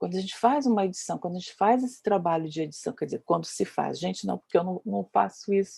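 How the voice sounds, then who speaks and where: Dry and close with no echo, a woman's somewhat breathy voice with a dark, mellow tone and medium pitch races at a very fast pace with hardly any pauses and ordinary pitch variation. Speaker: dance researcher and lecturer, panelist. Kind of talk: panel discussion talk. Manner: hesitant, many fillers.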